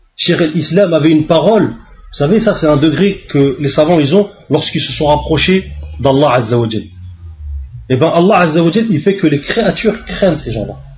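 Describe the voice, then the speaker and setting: Music plays in the background as a man with a fairly high pitch speaks at a moderate pace with lively intonation and audible room echo. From France, suburbs. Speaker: Islamic preacher. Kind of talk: religious lecture. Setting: mosque.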